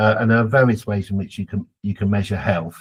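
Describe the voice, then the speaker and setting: A somewhat breathy man with a British accent. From Britain. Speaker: geography professor. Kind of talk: podcast interview.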